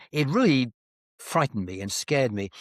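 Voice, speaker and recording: A man with a British accent and medium pitch, in a very clean recording with a silent background and a dry, close sound with no echo. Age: 70s. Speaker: author and retired professor. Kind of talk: interview.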